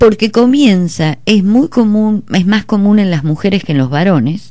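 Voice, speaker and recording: The woman's pitch swings very widely around a medium level. She talks at a moderate pace. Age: 60s. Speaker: psychologist. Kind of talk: radio interview.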